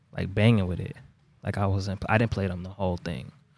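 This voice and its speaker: A man with an American accent speaks at a very fast pace in a dark, mellow tone. The recording is very clean, with a silent background. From Brockton, Massachusetts. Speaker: rapper. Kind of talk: casual interview. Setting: studio.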